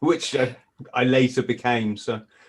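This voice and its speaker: A man with an English accent speaks at a medium pitch and a moderate pace, with ordinary pitch variation. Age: 50s. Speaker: former marine, author. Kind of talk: casual interview chat. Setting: Skype call.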